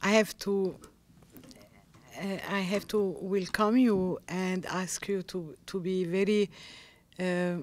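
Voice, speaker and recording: A woman with a Lebanese accent speaks very slowly in a monotone, flat medium pitch, leaving long, frequent pauses. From Lebanon. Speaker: novelist. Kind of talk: panel discussion. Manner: halting, searching for English words.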